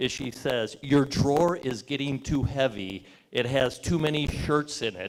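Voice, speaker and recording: An unremarkable speaking voice is heard. The pitch moves in an ordinary manner. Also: man. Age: 60s. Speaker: sponsor representative. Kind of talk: press conference speech. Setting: brewery event with audience. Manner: casual, joking.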